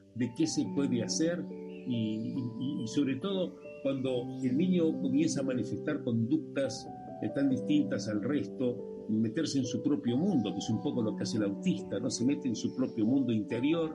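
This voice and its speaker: With music playing in the background, a man of medium pitch speaks at a moderate pace. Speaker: radio host. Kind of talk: radio interview questions.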